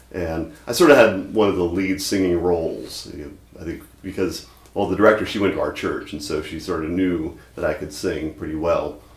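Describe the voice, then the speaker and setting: In audible room echo, a man with an American accent speaks at a moderate pace with hardly any pauses. His voice is very deep and low, with ordinary pitch variation and big swings in loudness. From Mississippi. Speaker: university instructor and singing weatherman. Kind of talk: documentary interview; children's science show. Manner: animated.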